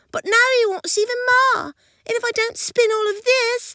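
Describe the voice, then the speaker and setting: A squeaky put-on character voice from a woman, extremely high in pitch, with fairly even intonation and a moderate pace. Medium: read story. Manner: tearful, imploring.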